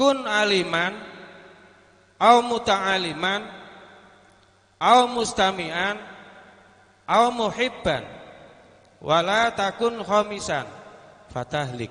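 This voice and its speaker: A man's high-pitched voice with a Javanese accent, very slow, with lively intonation, a bright, sharp tone and long, frequent pauses. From Central Java. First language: Javanese (speaking Indonesian). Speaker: Islamic boarding school alumnus representative. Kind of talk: formal welcome speech. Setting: reunion gathering with audience.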